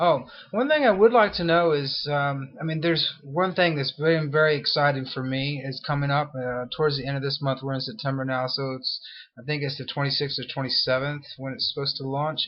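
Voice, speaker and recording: This man's voice sits fairly high and shows ordinary pitch variation as he talks at a fairly quick pace. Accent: American. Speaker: internet marketing blogger. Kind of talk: video blog. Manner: casual, halting with many fillers.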